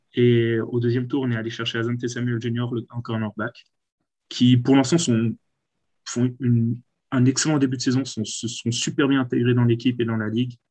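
Against a quiet background, a man with a dark, mellow tone and medium pitch speaks in a flat monotone at a moderate pace. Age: 20s. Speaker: sports fan guest. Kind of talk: casual chat.

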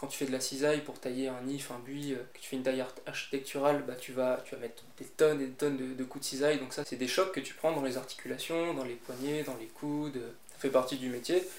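A man with a medium pitch talks at a fairly quick pace with fairly even intonation. Noticeable background noise and audible room echo are present. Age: 20s. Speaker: gardener. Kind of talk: interview. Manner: hesitant, many fillers.

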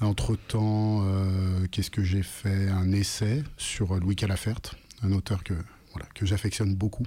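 A man speaks at a fairly slow pace with long, frequent pauses, his voice fairly low and somewhat breathy. His tone is dark and mellow, and his intonation stays fairly even. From France, Lyon. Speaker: author and rapper. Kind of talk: radio interview.

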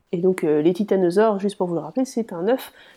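A woman talks fairly quickly at a medium pitch, her tone dark and mellow. Her intonation is lively against a quiet background. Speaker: podcast co-host. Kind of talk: casual chat.

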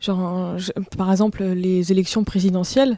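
A woman with a medium pitch and a dark, mellow tone talks at a fairly slow pace with fairly even intonation. The recording is very clean with a silent background and a dry, close sound with no echo. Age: 20s. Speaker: audiovisual worker. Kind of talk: casual chat. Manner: halting.

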